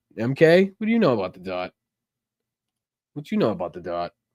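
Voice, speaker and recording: A man with an American accent speaks at a fairly quick pace, his pitch swinging very widely. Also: long, frequent pauses, big swings in loudness. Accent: Boston accent, toned down. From Boston, Massachusetts. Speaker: political talk show host. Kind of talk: casual chat. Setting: live stream. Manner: animated.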